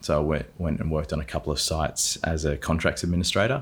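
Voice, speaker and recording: In an Australian accent, a man speaks at a very deep, low pitch with vocal fry. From South Australia, Adelaide area. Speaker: performance coach, former property development manager. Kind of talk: casual interview.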